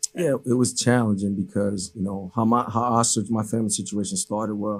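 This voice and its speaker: In a Haitian accent, a man talks at a fairly quick pace. His pitch is fairly low, his intonation fairly even. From Haiti, raised in Cambridge, Massachusetts. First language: Haitian Creole. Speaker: basketball coach. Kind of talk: interview. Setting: studio. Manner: many fillers and repetitions.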